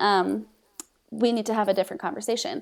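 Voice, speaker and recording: At a moderate pace, a woman with an unremarkable speaking voice talks at a fairly high pitch. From Mexico City, raised by US missionary parents. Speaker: social media ministry leader. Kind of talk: faith podcast conversation.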